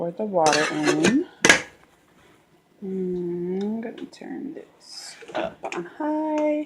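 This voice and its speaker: A soft-spoken woman at a very slow pace, with long, frequent pauses and very wide pitch swings, over noticeable background noise. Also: medium pitch for a woman. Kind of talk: casual talk to camera, cooking demo.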